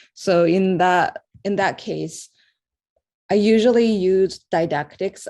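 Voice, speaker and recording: A woman speaks in a Japanese accent. Her tone is dark and mellow. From Japan, Osaka. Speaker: artist. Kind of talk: interview. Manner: halting.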